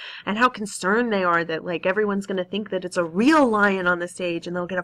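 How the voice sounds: What we hear is a natural reading voice.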